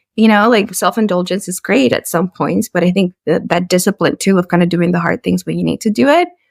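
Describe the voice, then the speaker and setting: Fairly quick and with hardly any pauses, a woman speaks at a medium pitch with ordinary pitch variation and vocal fry, in a dry, close sound with no echo. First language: a European language, English learned as teen. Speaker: communications professional, podcast guest. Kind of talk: interview conversation.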